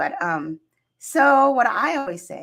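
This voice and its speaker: A woman speaks at a fairly slow pace with very wide pitch swings, on a very clean recording with a silent background. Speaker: hypnotherapist and coach hosting a show. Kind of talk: casual chat.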